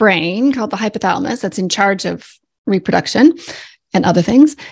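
Lively intonation and vocal fry mark this voice with a Canadian accent, heard against a quiet background. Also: woman. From Canada. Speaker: naturopathic doctor. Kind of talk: interview. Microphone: studio mic.

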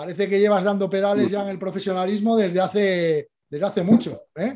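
A man speaks with a high pitch and a dark, mellow tone. The background is quiet. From Spain. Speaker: cycling show host. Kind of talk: casual interview. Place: home room. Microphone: studio mic.

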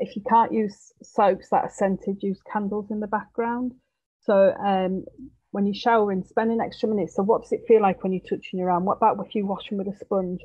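Over a quiet background, a woman with a Yorkshire accent speaks with fairly even intonation. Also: fairly quick pace. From East Yorkshire, England. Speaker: nurse and psychosexual therapist. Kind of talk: webinar presentation. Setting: video call. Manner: says um a lot. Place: home room. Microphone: headset.

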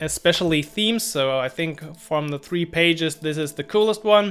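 Speaking at a fairly slow pace, a man with a high voice shows ordinary pitch variation while faint music plays in the background. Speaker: developer tutorial creator. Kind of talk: casual tech vlog explanation.

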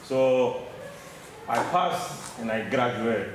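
Lively intonation marks this man's speech, with audible room echo and light background noise. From DR Congo. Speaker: mining engineer. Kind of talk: audience question. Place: meeting room. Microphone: camera far.

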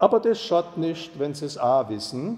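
This man has a fairly high pitch and a Saxon accent, and his pitch swings very widely. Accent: Ore Mountains dialect. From Ore Mountains, Bohemia. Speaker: dialect storyteller. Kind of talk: dialect story reading. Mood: calm, nostalgic. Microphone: lapel.

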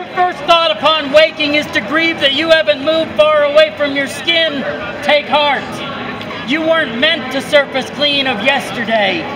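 A man's intense, high-pitched voice with crowd noise in the background. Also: moderate pace. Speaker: poet performing in public. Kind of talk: poetry performance, spoken-word poem performed in public. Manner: intense, urgent, second-person exhortation, building to a forceful command. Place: street. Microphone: phone near.

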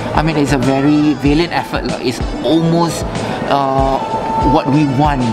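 With loud music in the background, a man speaks at a moderate pace. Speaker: wedding venue representative. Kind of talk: interview answer. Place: hall. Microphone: lapel.

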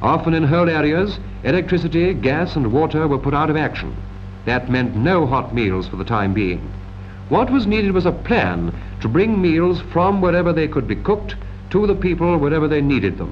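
With music in the background, a man in a British RP accent speaks at a fairly high pitch with very wide pitch swings. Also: moderate pace. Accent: 1940s British received pronunciation. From England. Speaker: film narrator. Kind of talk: 1940s British wartime film narration. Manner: formal, measured, authoritative newsreel-style delivery; crisp, earnest and patriotic, with clipped period diction. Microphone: old recording.

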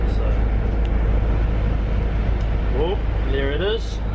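A man is speaking. Loud background noise fills the clip. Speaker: vlogger. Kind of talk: casual vlog chat. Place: street. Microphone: phone near.

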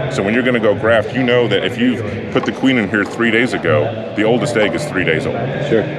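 A man speaks at a moderate speed, with music in the background. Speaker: booth vendor demonstrating beehive equipment. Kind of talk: product demonstration. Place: hall. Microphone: phone near.

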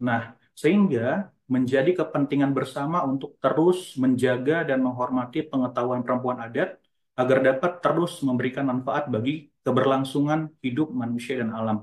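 A man speaks at a moderate pace, using ordinary pitch variation, with a quiet background. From North Sumatra. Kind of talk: conference presentation. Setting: video call. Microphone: video call.

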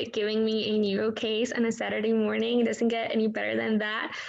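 A woman speaks with monotone, flat intonation. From India. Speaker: physician educator. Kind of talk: case discussion summary. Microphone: video call.

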